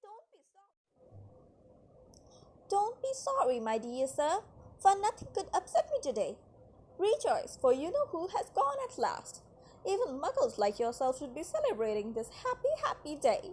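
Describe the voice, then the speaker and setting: Putting on a squeaky character voice, a woman speaks at an extremely high pitch with very wide pitch swings, a moderate pace and long, frequent pauses. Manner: joyful, giddy.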